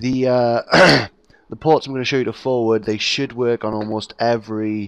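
A man talks at a moderate pace. The sound is dry and close with no echo, against a quiet background. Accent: British. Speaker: gaming YouTuber. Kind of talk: tutorial. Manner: casual, hesitant with fillers.

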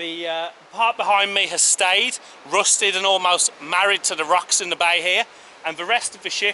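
At a moderate pace, a man speaks in a raised, projected voice with fairly even intonation over light background noise. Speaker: travel vlogger. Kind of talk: casual vlog chat. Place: beach. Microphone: phone near.

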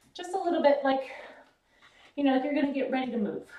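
In a room with audible echo but a quiet background, a woman speaks high in pitch with an upbeat tone. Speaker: fitness instructor. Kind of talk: live-style exercise demonstration, talking the viewer through each move with cues. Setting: home or gym workout video. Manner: upbeat, encouraging, coaching; counts reps aloud and gives steady form tips. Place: gym. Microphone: camera far.

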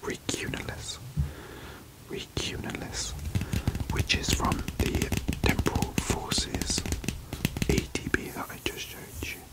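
A soft-spoken man whispering at a fairly slow pace, with long, frequent pauses over loud background noise. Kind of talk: casual vlog chat. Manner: soft close ASMR whisper. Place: home room.

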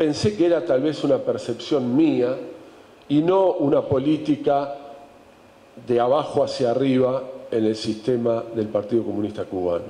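Against audible room echo, a man talks at a fairly slow pace with ordinary pitch variation. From Uruguay. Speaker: writer and journalist; journalist. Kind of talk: book presentation talk. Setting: event with live audience. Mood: informal, humorous, irreverent. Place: hall. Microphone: handheld.

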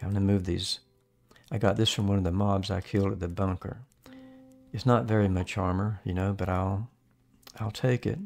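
A man talks at a fairly quick pace in a fairly low pitch with fairly even intonation, yet leaves long, frequent pauses. Faint music plays in the background. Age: 70s. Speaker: gaming video creator; gaming streamer. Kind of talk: gameplay commentary. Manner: casual, chatty. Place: home room. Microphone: studio mic.

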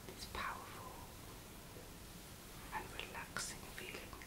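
A woman's soft-spoken whispering at a fairly slow pace. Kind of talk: casual vlog chat. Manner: soft ASMR whisper. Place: home room. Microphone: phone near.

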